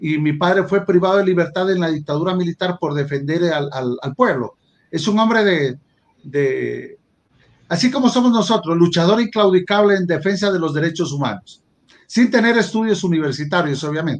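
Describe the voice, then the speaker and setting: A man talks in a high pitch with lively intonation. His pace is moderate. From Ecuador, El Oro and Loja. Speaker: judge and law professor. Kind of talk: interview. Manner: halting, repeats words.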